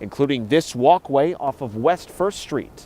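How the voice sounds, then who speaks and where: A man with a normal speaking voice, at a moderate pace with lively intonation. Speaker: news reporter. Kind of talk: TV news report.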